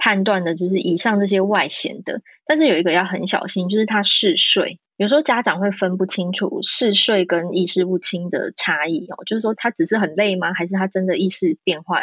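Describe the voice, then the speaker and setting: At a moderate pace and with hardly any pauses, a woman speaks at a medium pitch in an unremarkable speaking voice. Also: ordinary pitch variation. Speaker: pediatrician. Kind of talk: interview.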